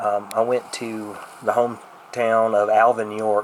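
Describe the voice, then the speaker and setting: A man with a Southern US accent speaks amid noticeable background noise. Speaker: urban explorer vlogger. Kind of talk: casual vlog narration. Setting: outdoors.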